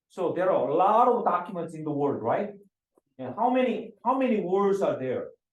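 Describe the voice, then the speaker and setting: A man's high-pitched voice with lively intonation at a moderate pace, with audible room echo. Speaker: professor. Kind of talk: lecture. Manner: halting, many fillers and repetitions.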